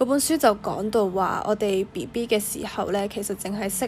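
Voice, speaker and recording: Female speech at moderate speed, ordinary in pitch variation, with music behind it. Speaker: podcast host. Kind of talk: solo reflective monologue. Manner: hesitant, many fillers.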